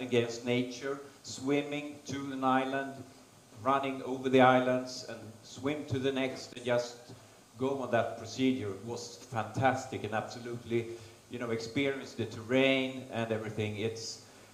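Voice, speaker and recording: Amid audible room echo and noticeable background noise, a man with a Swedish accent speaks at a fairly slow pace with fairly even intonation and big swings in loudness. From Sweden, Stockholm. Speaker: race organiser and endurance racer. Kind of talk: conference presentation. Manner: halting.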